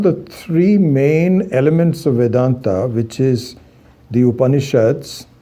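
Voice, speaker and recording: A man with an Indian accent speaks in a dark, mellow, medium-pitched voice with lively intonation, and room echo is audible. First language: Hindi. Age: 60s. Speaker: Vedanta teacher. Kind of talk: lecture. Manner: halting, many fillers.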